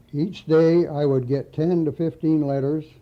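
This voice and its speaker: With a Midwestern American accent, a man talks at a fairly slow pace in a fairly high voice with fairly even intonation. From Lansing, Michigan. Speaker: retired auto factory auditor. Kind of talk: reading own memoir aloud.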